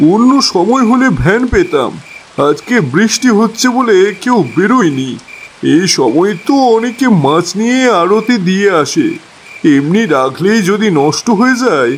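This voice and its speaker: In a cartoonish character voice pitched high, a man speaks fairly slowly over clear background noise. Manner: anxious, repetitive.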